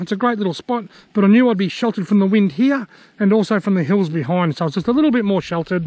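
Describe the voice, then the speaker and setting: A man talks very fast in a high voice with ordinary pitch variation. The sound is dry with no echo and the background is quiet. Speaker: fishing vlogger. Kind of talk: casual vlog chat. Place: waterside. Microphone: phone near.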